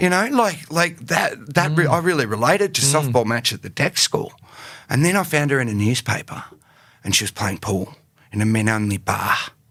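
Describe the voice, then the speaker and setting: Bright and sharp in tone, a man's fairly high voice moves through very wide pitch swings. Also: moderate pace. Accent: Australian. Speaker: actor and writer. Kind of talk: podcast interview answer. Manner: casual, halting.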